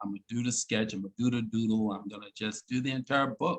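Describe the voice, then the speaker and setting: Recorded dry and close with no echo, a man uses a normal speaking voice at medium pitch with fairly even intonation. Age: 60s. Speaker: inventor and design teacher. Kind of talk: interview. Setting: video call.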